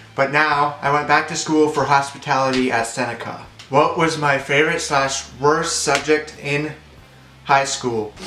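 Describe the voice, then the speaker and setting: With a Canadian accent, a man speaks at a fairly high pitch and a fairly slow pace in a monotone, flat intonation, with audible room echo and noticeable background noise. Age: 20s. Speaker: vlogger. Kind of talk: casual chat.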